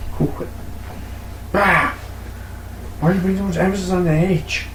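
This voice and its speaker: Male speech amid noticeable background noise, with audible room echo. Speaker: podcast co-host. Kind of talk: casual chat. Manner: animated.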